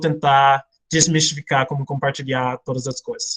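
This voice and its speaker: A man with an American accent speaks at a moderate pace and a fairly high pitch, with fairly even intonation and a somewhat breathy voice, in a dry, close sound with no echo. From United States. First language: English (speaking Portuguese). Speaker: missionary and Bible teacher. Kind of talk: online Bible class. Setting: video call. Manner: hesitant, many fillers.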